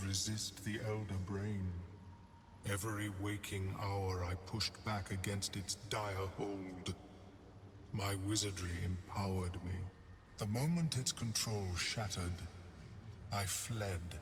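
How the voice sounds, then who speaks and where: Against clear background noise, a man in a put-on character voice speaks at a fairly slow pace and fairly low pitch, with long, frequent pauses. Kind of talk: game voice acting. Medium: video game. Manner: formal, measured.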